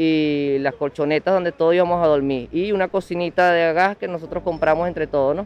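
With ordinary pitch variation, a man speaks in a high voice at a moderate pace. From Venezuela, Miranda. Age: 30s. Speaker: migrant volunteer. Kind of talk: interview testimony.

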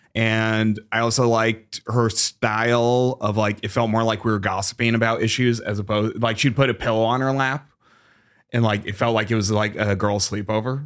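On a very clean recording with a silent background, a man with an American accent speaks at a moderate pace in a monotone, flat way. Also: medium pitch for a man. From Massachusetts. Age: 30s. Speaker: stand-up comedian. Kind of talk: casual chat.

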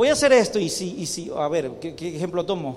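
A man speaks at a moderate pace while room echo and background noise are both clearly audible. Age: young. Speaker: pastor. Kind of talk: sermon. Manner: emphatic.

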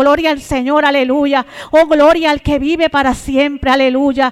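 Against noticeable background noise, a woman talks at a moderate pace in a high pitch. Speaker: preacher. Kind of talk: sermon. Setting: church. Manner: fervent, exclamatory; repetitive praise interjections, urgent.

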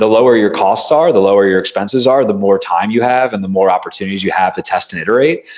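With an American accent and a fairly low pitch, a man talks very fast, his pitch varying in an ordinary way. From US East Coast. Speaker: startup incubator executive, entrepreneur. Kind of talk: presentation. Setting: video call.

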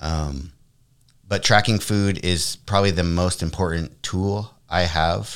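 Very slow and very deep in pitch, a man talks with ordinary pitch variation. The recording is very clean, with a silent background. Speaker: guest sharing weight-loss journey. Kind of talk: casual podcast discussion.

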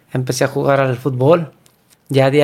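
A man with a northern Mexican accent speaks at a moderate pace in a medium pitch with fairly even intonation, in a very clean recording with a silent background. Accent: northern Mexican (Sonoran) Spanish. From Mexico, Sonora (San José de Bacum, near Obregón). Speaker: former professional footballer. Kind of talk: casual chat. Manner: halting.

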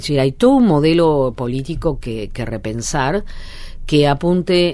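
A woman with a very deep, low pitch speaks, and audible room echo surrounds her voice. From Argentina, Alto Valle de Río Negro. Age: 50s. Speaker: sociologist and author. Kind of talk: interview. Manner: hesitant, many fillers.

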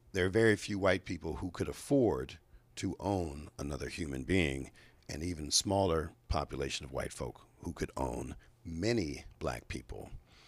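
The recording is very clean with a silent background. A man with an American accent speaks at a moderate pace in a very deep, low pitch with vocal fry. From Chicago, US Midwest. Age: 50s. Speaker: state legislator. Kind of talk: interview. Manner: many fillers (uh, um).

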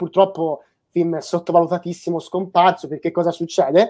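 This woman's voice has a dark, mellow tone. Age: 20s. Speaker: animation YouTuber hosting a live stream. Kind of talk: casual live-stream chat. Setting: online live stream. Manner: animated.

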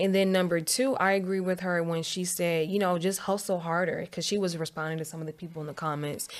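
A woman rushes along at a very fast pace with hardly any pauses. Her pitch is fairly low and her intonation fairly even. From Northern Virginia, DMV area (Dumfries). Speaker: entrepreneur and real estate agent. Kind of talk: casual interview.

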